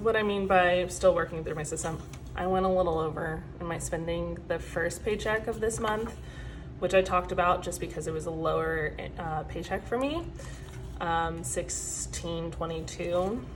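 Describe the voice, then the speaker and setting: A woman at a moderate pace, with audible echo from the room. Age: 20s. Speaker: personal finance vlogger. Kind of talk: casual chat.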